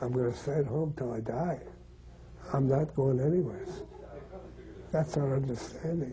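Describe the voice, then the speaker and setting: A man's fairly high voice, long and frequent pauses, noticeable background noise. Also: ordinary pitch variation, moderate pace. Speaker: terminally ill professor. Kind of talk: interview.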